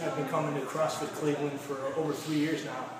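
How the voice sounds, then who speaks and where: Audible room echo and noticeable background noise accompany a man whose speech moves fairly quickly. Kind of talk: testimonial interview answer. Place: gym.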